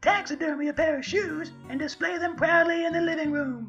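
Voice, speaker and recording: Clear music plays in the background as a cartoonish character voice speaks at a moderate pace. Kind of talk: comedic satirical rant to camera. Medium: puppet. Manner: zany, energetic.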